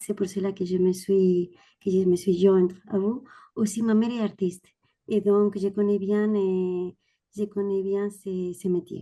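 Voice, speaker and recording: In a Spanish accent, a woman speaks at a fairly slow pace with a medium-pitched, dark, mellow voice and monotone, flat intonation. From Spain. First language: Spanish (speaking French). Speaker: audience member, language teacher. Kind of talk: audience question.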